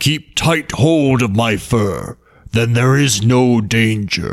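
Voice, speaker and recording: Put-on character voice from a man, medium in pitch, at a very slow pace. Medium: read story.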